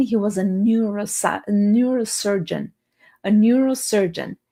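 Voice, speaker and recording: Somewhat breathy and dark, mellow in tone, a woman's voice sits fairly high in pitch. She talks at a fairly slow pace. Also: very clean recording, silent background. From Romania. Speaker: motivational speaker. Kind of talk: live stream talk. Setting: livestream.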